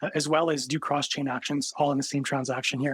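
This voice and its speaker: A man uses a normal speaking voice at a fairly high pitch and a fairly quick pace. The sound is dry and close, with no echo. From Canada. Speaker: tech startup co-founder. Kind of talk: podcast interview.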